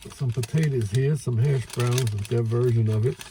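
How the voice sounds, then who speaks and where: In a Brooklyn accent, the speaker talks at a fairly slow pace with a relaxed tone over noticeable background noise. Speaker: food reviewer. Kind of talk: casual food review vlog. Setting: outdoors by a lake. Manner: relaxed, hesitant with fillers.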